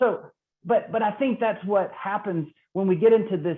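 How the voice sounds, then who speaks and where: Someone speaks in a Mississippi accent at a moderate pace. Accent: Southern US (Mississippi). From Mississippi, US South. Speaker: trainer on racial equity. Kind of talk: training webinar presentation. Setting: online call.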